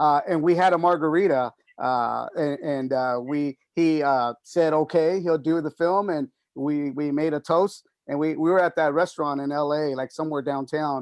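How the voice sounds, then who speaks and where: In a dry, close sound with no echo, a man with a plain, everyday voice keeps fairly even intonation at a moderate pace. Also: fairly high pitch for a man. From San Antonio, Texas. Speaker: film director. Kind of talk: interview on video call. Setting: video call.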